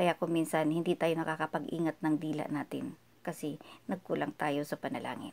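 This woman's voice is very deep and low. She talks at a fairly quick pace with ordinary pitch variation. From Philippines. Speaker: vlogger leading prayer. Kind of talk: devotional talk leading into prayer. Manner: earnest, humble. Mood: calm, earnest, devotional. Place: home room. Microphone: phone near.

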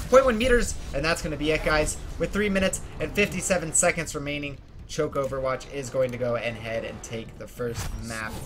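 The speaker has an animated tone, with noticeable background noise around them. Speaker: esports caster. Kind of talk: live esports commentary. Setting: online stream broadcast. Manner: animated, play-by-play pace with urgent emphasis on key fights; fluent but sprinkled with fillers like 'um' and 'uh'.

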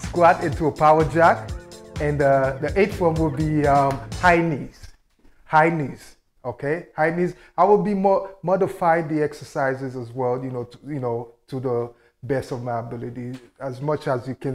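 With faint music in the background, a man speaks at a moderate pace, with ordinary pitch variation and big swings in loudness. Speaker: fitness instructor. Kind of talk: workout intro, casual instruction. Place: home room. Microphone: lapel.

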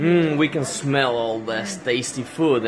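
A man talks with lively intonation over noticeable background noise. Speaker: home vlogger. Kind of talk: casual vlog chat. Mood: cheerful, curious. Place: kitchen. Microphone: phone near.

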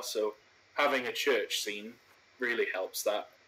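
A man speaks with a Welsh accent. Noticeable background noise runs underneath. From Wales. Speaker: video host, train simulator gameplay. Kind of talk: casual chat with gameplay commentary. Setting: online voice call while recording gameplay.

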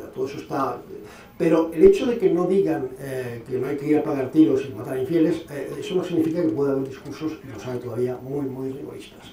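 A very fast male voice, fairly high in pitch with ordinary pitch variation, amid audible room echo and light background noise. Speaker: lecturer on Islam and radicalization. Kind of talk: Q&A after a lecture. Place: hall. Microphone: podium.

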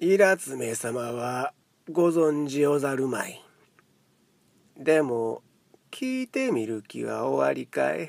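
A man with a Kansai accent speaks at a very slow pace. He leaves long, frequent pauses. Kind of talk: literary audiobook reading.

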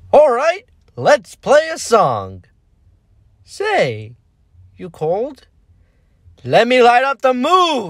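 This put-on character voice has a fairly high pitch and moves at a very slow pace with long, frequent pauses. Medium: role play.

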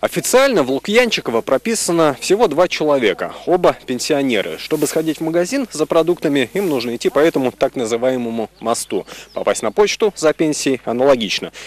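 At a fairly quick pace, a man with a fairly high pitch makes very wide pitch swings in a dry sound with no echo. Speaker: TV news reporter. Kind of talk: TV news report. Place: waterside. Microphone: handheld.

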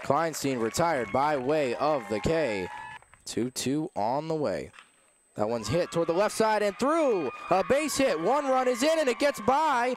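A man's high pitch with very wide pitch swings at a fairly slow pace, over noticeable background noise. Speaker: baseball play-by-play announcer. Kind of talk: live sports commentary, play-by-play call of a baseball game.

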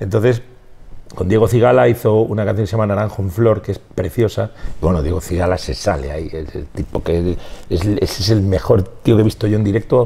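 Speech comes at a fairly quick pace with ordinary pitch variation. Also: man, fairly low pitch for a man. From Spain, Valladolid. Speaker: rock musician. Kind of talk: interview. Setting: music venue. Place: bar. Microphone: lapel.

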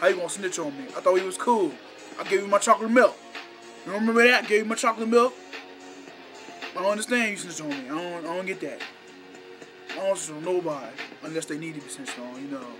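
A man talks at a very fast pace with clear music in the background. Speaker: vlogger. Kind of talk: casual vlog rant. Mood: annoyed, joking rant. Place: home room. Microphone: webcam.

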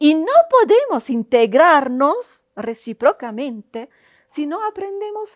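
A woman with an Italian accent, high-pitched, her pitch swinging very widely, at a very slow pace against a quiet background. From Italy. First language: Italian (speaking Spanish). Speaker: university professor. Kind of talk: interview monologue. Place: hall. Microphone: lapel.

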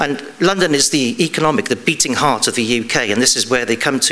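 A fairly quick voice with an English accent. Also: man. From England. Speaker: police detective. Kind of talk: conference talk. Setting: stage with audience. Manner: halting. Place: stage.

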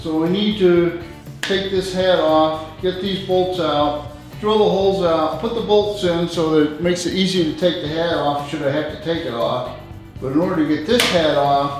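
Faint music plays behind a voice with ordinary pitch variation and strong room echo. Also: man. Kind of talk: tutorial. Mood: mildly frustrated. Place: garage. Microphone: camera far.

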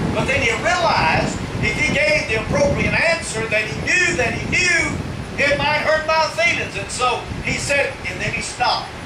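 At a moderate pace, a man talks through loud background noise. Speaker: evangelist / preacher. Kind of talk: sermon delivered in a tent revival. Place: tent. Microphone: podium.

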